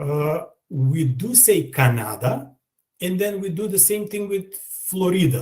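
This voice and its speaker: A man speaks with a Macedonian accent at a fairly slow pace. His voice is somewhat breathy, with a dark, mellow tone. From North Macedonia, Skopje. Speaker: language teacher. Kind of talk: online language lesson. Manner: hesitant, many fillers.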